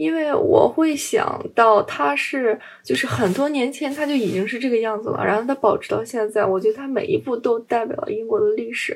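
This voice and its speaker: A woman talks at a fairly high pitch over noticeable background noise. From China. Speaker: podcast co-host. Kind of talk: casual chat.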